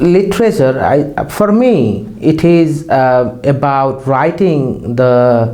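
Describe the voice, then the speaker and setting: A man with a Nepali accent speaks at a very slow pace with hardly any pauses, using a fairly high pitch and lively intonation, amid noticeable background noise and audible room echo. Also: very even loudness. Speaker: poet and lecturer. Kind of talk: interview. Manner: halting.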